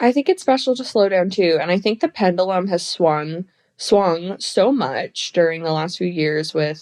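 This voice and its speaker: A woman talks at a moderate pace with medium pitch and lively intonation. The sound is dry and close, with no echo. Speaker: social media creator, guest. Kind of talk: casual podcast chat. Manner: animated.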